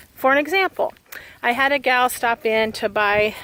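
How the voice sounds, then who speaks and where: Over noticeable background noise, a woman talks at a fairly high pitch, the sound dry and close with no echo. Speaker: vlogger and shop owner. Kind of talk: casual vlog monologue while walking. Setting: outdoors, walking. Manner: monotone.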